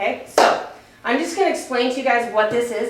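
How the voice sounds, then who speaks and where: A woman talks fairly quickly, with audible room echo and noticeable background noise around her. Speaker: wellness program trainer. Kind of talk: staff training presentation. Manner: fast.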